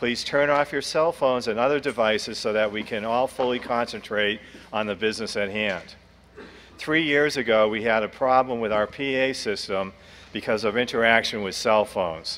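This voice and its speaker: Ordinary pitch movement and a moderate tempo from a male speaker. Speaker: meeting moderator. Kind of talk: formal meeting announcements. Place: hall. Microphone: podium.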